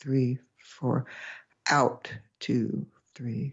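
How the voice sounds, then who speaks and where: Speaking at a very slow pace, a woman uses a gentle, calm tone. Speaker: developmental optometrist and podcast host. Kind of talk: guided meditation. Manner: slow, calm, soothing; gentle, instructive.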